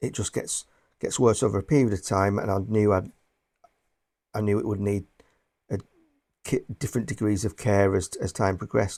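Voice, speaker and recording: In a very clean recording with a silent background, a man with a northwest English accent speaks at a fairly low pitch in a dark, mellow tone, with ordinary pitch variation and long, frequent pauses. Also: moderate pace. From northwest England. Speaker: booktuber and bookseller. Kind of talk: casual vlog talk to camera. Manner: halting, many repeated words.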